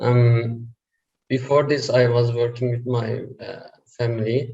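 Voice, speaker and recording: Somewhat breathy and with a dark, mellow tone, a man speaks at a very slow pace in monotone, flat intonation. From Turkey. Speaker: online seller. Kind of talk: interview.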